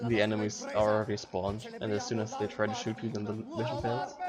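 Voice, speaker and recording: A man's fairly quick, monotone, flat delivery over noticeable background noise. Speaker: speedrunner. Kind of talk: speedrun commentary. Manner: fast; casual.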